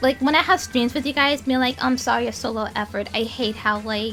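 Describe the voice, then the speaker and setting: Noticeable background noise accompanies a woman with a fairly high pitch. She talks at a fairly quick pace with ordinary pitch variation. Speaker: streamer and YouTuber. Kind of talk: vent session. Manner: fast; loud, yelling.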